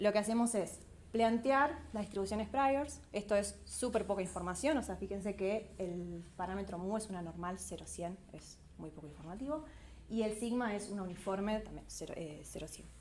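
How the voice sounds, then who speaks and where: With ordinary pitch variation and a moderate pace, the voice shows big swings in loudness over audible room echo. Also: woman, medium pitch for a woman. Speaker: PhD student workshop presenter. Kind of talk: lecture.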